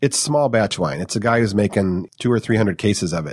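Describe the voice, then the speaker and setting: Speaking fairly quickly with an American accent, a man uses a normal speaking voice pitched fairly low. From US Midwest, Detroit suburbs. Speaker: wine company co-founder. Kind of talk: casual interview chat.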